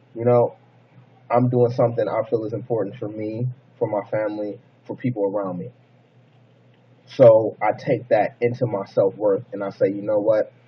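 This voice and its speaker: A man speaks in a somewhat breathy voice at a medium pitch, with monotone, flat intonation. He leaves long, frequent pauses. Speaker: motivational vlogger. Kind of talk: motivational monologue. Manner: fast; casual.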